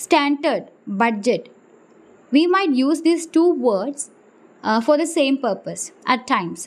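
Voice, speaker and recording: A woman's high-pitched voice with a non-native accent and lively intonation, at a very slow pace with long, frequent pauses. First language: not English. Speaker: accounting tutor. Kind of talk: tutorial. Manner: halting, with many fillers.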